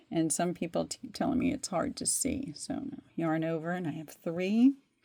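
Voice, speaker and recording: A woman's fairly high, dark and mellow voice with very wide pitch swings. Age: 60s. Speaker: crochet instructor. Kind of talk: tutorial. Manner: casual, conversational.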